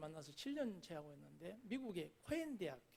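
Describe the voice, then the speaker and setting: This man speaks with a high pitch. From South Jeolla, Korea (Gangjin countryside). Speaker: pastor. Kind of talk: sermon.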